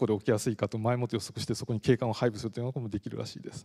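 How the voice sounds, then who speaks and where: A man talks at a very fast pace with a dark, mellow tone. The background is quiet. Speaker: professor; university lecturer. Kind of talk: lecture. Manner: frequent fillers. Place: hall. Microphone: handheld.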